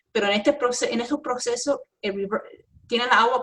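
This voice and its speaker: Speaking in an English accent, this woman's intonation is lively. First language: English (speaking Spanish). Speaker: environmental engineering professor. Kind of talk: interview. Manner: halting, many fillers and self-corrections.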